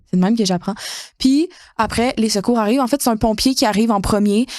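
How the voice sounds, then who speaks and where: A woman speaks in a Quebec accent at a fairly high pitch. Her pitch varies in an ordinary way. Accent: Québécois French. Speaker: podcast co-host. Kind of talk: casual chat, personal story. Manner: animated.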